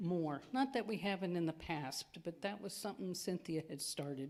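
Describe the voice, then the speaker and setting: A woman speaks at a moderate pace in a fairly low pitch, her tone dark and mellow. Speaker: congregation member announcing food pantry drive. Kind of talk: church announcement. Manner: loud.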